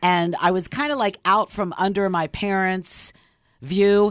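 Recorded very cleanly against a silent background, a woman with a Philadelphia accent speaks in an animated tone. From Philadelphia area, Levittown, Pennsylvania. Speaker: former radio DJ and author. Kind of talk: casual interview, storytelling.

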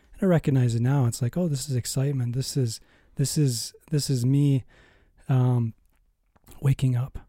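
With an American accent, a man speaks at a medium pitch and moderate pace in a dark, mellow, somewhat breathy tone, his intonation fairly even and his loudness very even, leaving long, frequent pauses in a dry, close sound with no echo. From US Midwest (Minnesota). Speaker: psychotherapist. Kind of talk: interview about life story.

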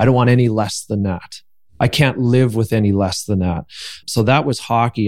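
The voice has a Canadian accent and a dark, mellow tone. It moves at a fairly quick pace over a quiet background. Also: man. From Canada. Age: 30s. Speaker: retired pro hockey player. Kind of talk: interview. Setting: studio. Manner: energetic; enthusiastic.

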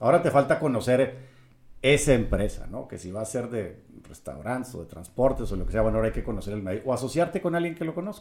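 A man speaks at a very fast pace with a medium pitch and vocal fry. His pitch swings very widely, and his loudness shifts greatly. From Mexico, Monterrey. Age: 50s. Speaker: real estate developer. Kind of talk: interview.

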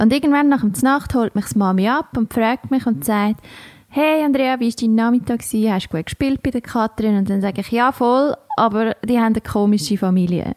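In an ordinary speaking voice, a woman talks at a fairly quick pace and a fairly high pitch, with ordinary pitch variation and a dry, close sound with no echo. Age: 30s. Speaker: podcast co-host. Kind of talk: casual chat.

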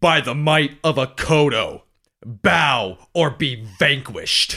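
Putting on a character voice, a man shouts in a gruff, raspy, fairly high pitch at a very slow pace. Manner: shouted at top of lungs, gruff.

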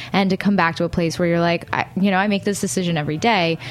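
A woman's fairly low voice comes through over noticeable background noise. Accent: American. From Brooklyn, New York. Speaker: radio network staff. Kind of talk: casual chat. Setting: radio studio.

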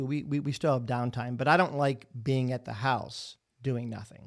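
This is an unremarkable speaking voice from a man with an American accent, medium in pitch with ordinary pitch variation. He speaks at a moderate pace on a very clean recording with a silent background. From Ohio, Cleveland. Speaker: restaurant franchise owner and podcast host. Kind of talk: casual chat.

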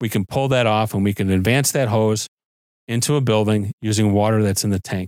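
A man with a plain, everyday voice and an American accent, fairly low in pitch with ordinary pitch variation, at a moderate pace, in a dry, close sound with no echo on a very clean recording with a silent background. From US Midwest, Chicago suburbs (Arlington Heights, Illinois). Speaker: fire chief. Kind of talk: interview.

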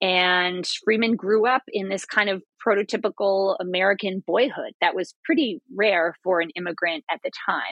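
A woman speaks in a normal speaking voice at a medium pitch, with ordinary pitch variation. Her pace is moderate, with hardly any pauses. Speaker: historian and professor. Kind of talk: interview.

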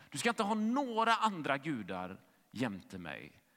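A man's bright, sharp voice with vocal fry, very wide pitch swings and a fairly slow pace, on a very clean recording with a silent background. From western Sweden, Gothenburg. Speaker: pastor. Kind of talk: sermon.

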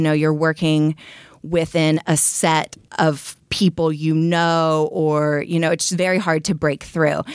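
A woman speaks with a very deep, low pitch and an American accent. The recording is very clean, with a silent background. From Texas. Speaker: startup founder. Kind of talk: interview.

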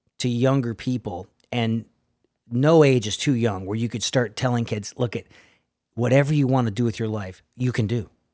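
A man with an ordinary speaking voice and an American accent, medium pitch, fairly even intonation and a moderate pace. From New England, later El Paso, Texas. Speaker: drummer and music educator. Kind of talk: casual interview.

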